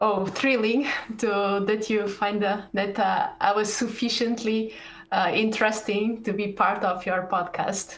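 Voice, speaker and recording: Speaking at a fairly slow pace, a woman with a Portuguese accent keeps a fairly high pitch and a monotone, flat intonation. Room echo is audible, along with noticeable background noise. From Portugal, Porto. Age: 30s. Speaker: computer science professor. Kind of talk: interview. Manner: hesitant, many fillers.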